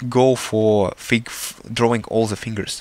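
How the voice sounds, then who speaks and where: A man's medium-pitched voice with a Russian accent. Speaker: artist. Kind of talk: tutorial. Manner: halting.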